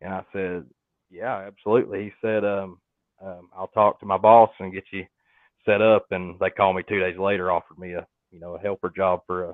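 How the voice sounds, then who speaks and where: A man with a Southern US accent speaks at a fairly quick pace and a fairly low pitch. His intonation is monotone and flat, with big swings in loudness. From North Georgia, US South. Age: 20s. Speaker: HVAC technician and YouTuber. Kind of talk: casual interview chat. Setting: livestream.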